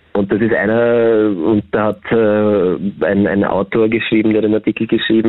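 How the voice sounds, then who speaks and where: Over noticeable background noise, a man speaks at a fairly low pitch and a fairly slow pace. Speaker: psychotherapist. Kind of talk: phone interview. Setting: phone call.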